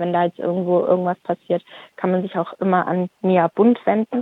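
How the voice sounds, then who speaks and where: A woman speaks at a medium pitch and a moderate pace. Her intonation is fairly even. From Stuttgart, Germany. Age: 30s. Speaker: activist. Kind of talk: interview.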